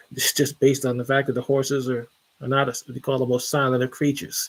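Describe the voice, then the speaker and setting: Here is a man with a plain, everyday voice. He talks at a fairly quick pace in a fairly high pitch. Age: 50s. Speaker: transit historian and author. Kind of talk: podcast monologue. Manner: casual, with frequent fillers and restarts.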